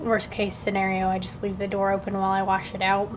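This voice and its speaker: The speaker keeps a moderate pace while the room's echo can be heard. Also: woman. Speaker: book vlogger. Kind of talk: casual vlog. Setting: at home, kitchen. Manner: whispering.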